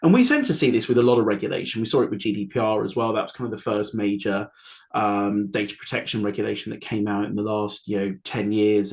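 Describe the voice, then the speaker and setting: At a very fast pace, a man with a British accent speaks in a fairly low pitch. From United Kingdom. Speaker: AI compliance consultant. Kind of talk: webinar panel discussion. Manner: hesitant, many fillers.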